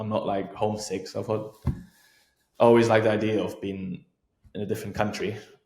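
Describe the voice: A man speaks at a moderate pace in a fairly low pitch, his tone slightly mellow. His pitch moves little, and audible room echo surrounds him.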